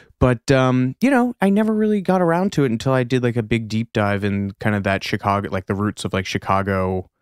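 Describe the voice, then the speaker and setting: This man has a plain, everyday voice with an American accent, medium in pitch and lively in intonation. He talks at a fairly quick pace with hardly any pauses, in a dry, close sound with no echo. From US Midwest. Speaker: podcast co-host. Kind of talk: casual chat.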